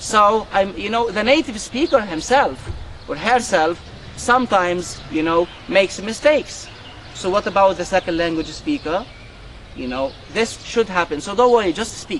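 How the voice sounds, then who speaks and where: Over noticeable background noise, a man with a non-native accent speaks at a moderate pace, his high pitch carrying lively intonation. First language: not English. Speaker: university lecturer, club coordinator. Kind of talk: conversation club session. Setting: university cafe with students.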